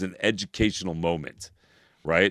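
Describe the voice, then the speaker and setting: On a very clean recording with a silent background, a man with an American accent speaks in an animated tone, the sound dry and close with no echo. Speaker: podcast co-host. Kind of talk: casual chat.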